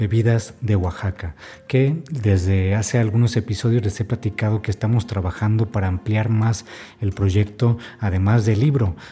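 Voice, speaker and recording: This man has a fairly low pitch and a dark, mellow, somewhat breathy tone. He keeps a moderate pace with ordinary pitch variation. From Baja California, northern Mexico. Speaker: podcast host and food book author. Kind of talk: podcast narration and interviewing.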